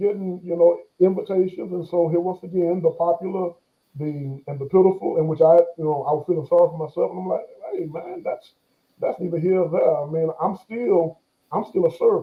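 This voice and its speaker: Speaking at a fairly quick pace, a man with an American accent keeps a fairly even intonation in his high voice. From Texas, Bastrop near Austin. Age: 40s. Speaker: pastor. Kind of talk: interview. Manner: halting, repetitive.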